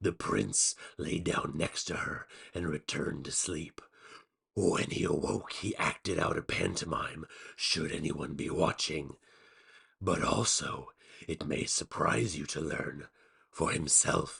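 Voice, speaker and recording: Putting on a character voice, a man speaks fairly slowly in a raspy, very deep, low pitch. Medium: read story. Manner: slow, deliberate, cryptic.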